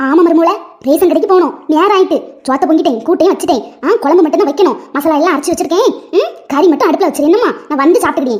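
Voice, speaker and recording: A woman's cartoonish character voice at an extremely high pitch, very fast pace and very even loudness. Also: lively intonation. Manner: brisk, bossy.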